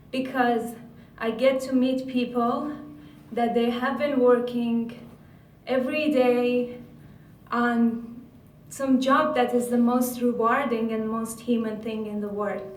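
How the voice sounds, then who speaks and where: In an Iranian accent, the speaker goes at a very slow pace with monotone, flat intonation and long, frequent pauses, while room echo is audible. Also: woman, high pitch for a woman. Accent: Iranian (Persian) accent in English. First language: Persian. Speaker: graduate student researcher. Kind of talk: conference talk.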